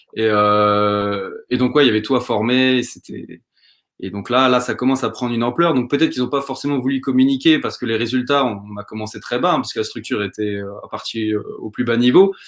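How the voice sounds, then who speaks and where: An ordinary speaking voice from a man, medium in pitch with ordinary pitch variation, at a fairly quick pace on a very clean recording with a silent background. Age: 20s. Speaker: football coach and shirt collector. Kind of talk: casual interview.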